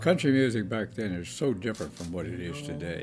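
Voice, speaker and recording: Over music in the background, a man with a Maryland Eastern Shore accent speaks in a fairly low pitch with very wide pitch swings. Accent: Maryland Eastern Shore rural American. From Eastern Shore of Maryland. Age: 90s. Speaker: country musician, WWII veteran. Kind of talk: interview answer.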